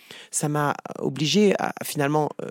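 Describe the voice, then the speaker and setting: A man with a fairly high pitch and ordinary pitch variation has an unremarkable speaking voice. The recording is very clean with a silent background and a dry, close sound with no echo. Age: 50s. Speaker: psychotherapist. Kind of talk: interview.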